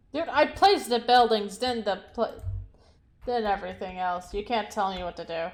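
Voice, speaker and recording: A woman talks at a moderate pace in an ordinary speaking voice. The recording is very clean, with a silent background. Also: fairly high pitch for a woman, lively intonation. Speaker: video game streamer. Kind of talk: casual gameplay commentary. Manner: casual, rambling with fillers.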